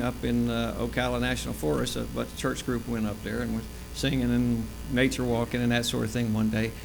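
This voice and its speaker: Audible room echo fills the recording. A man talks in an American accent. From US South, Florida (Tampa area). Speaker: church health presenter. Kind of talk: church talk. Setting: church. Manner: loud; casual, joking.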